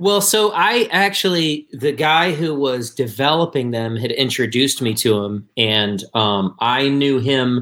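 A man with an American accent and a bright, sharp tone speaks fairly slowly at medium pitch, his intonation lively and with hardly any pauses. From northern Michigan, US. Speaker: bass player in a band. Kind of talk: casual interview chat. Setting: video call.

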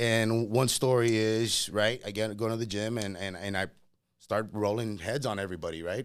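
This man has a Spanish accent and a fairly low pitch. He talks at a moderate pace with ordinary pitch variation. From Laredo, Texas. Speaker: homebuilder sales professional. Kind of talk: casual chat interview.

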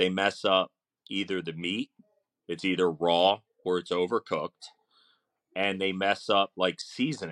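A very deep, low male voice with a Philadelphia accent, fairly slow with long, frequent pauses and fairly even intonation, dry and close with no echo in a very clean recording with a silent background. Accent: Philadelphia-area American. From South Jersey, near Philadelphia. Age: 40s. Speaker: barbecue chef and teacher. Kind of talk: casual interview chat.

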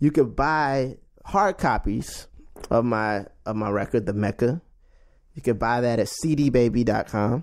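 A plain, everyday voice with an American accent speaks at a fairly slow pace with ordinary pitch variation, on a very clean recording with a silent background. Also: man, medium pitch for a man. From Washington, DC. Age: 30s. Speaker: jazz bassist. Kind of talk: casual interview.

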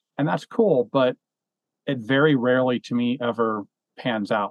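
Here is a man with a plain, everyday voice. His intonation is fairly even. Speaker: film podcast host. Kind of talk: casual chat.

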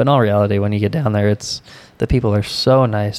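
Music plays in the background as a man speaks. His pitch is medium and his intonation fairly even. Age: 20s. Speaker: podcast co-host. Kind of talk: casual chat.

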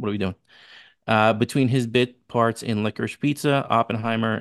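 A man with a New York accent speaks at a moderate pace, his fairly low pitch kept fairly even. The sound is dry and close with no echo, over a quiet background. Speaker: podcast co-host. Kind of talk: casual chat.

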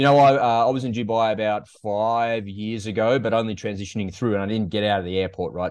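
With an Australian accent, a man speaks at a fairly low pitch with ordinary pitch variation. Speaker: podcast host, interviewer. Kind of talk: interview, casual chat.

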